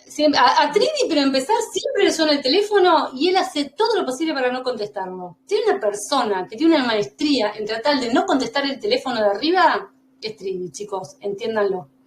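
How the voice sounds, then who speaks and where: A woman talks at a fairly quick pace with hardly any pauses. Her high voice swings very widely in pitch. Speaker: esoteric teacher. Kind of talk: live stream talk. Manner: fast.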